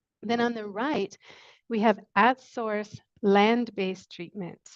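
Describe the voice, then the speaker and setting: Soft-spoken, a woman with a fairly high pitch keeps her intonation fairly even over a quiet background. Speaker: sanitation researcher. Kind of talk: webinar presentation.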